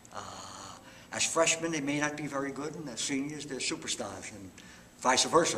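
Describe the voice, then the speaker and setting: A man with a New York accent, fairly high in pitch, with ordinary pitch variation, a fairly quick pace and audible room echo. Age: 70s. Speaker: retired high school football coach. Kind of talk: interview.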